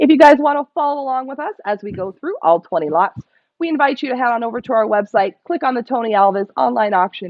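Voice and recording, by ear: A woman's fairly high voice at a fast pace, lively intonation, dry, close sound with no echo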